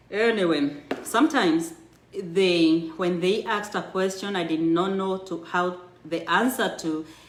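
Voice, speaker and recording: The speaker has a strong Kenyan accent and talks at a fairly slow pace. Audible room echo surrounds the voice. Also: woman. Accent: thick Kenyan. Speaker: storyteller sharing her immigrant life story. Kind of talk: personal storytelling, reading a memoir aloud on a livestream. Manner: halting with self-corrections.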